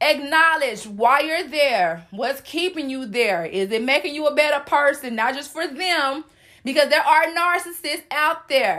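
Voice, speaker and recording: In an American accent, the voice is raised and projected, with a bright, sharp, animated tone. Intonation is lively while the pace stays fairly slow. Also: woman, high pitch for a woman. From US South. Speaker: podcast host. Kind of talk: motivational solo podcast. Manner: loud.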